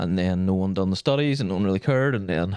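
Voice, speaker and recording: Fairly quick speech in a Northern Irish accent, with ordinary pitch variation, a very clean recording with a silent background and a dry, close sound with no echo. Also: man. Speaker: podcast co-host. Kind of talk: casual chat.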